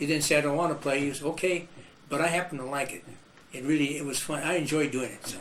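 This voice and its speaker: A man with an American accent talks at a very fast pace in a fairly high pitch with fairly even intonation, over noticeable background noise and audible room echo. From Iowa, US Midwest. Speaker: musician and band leader. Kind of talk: oral history interview. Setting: video interview.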